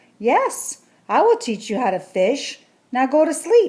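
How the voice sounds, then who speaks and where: In a put-on character voice, a woman sounds gruff and high-pitched, swinging very widely in pitch at a fairly slow pace. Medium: read story. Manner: gruff, grumbly.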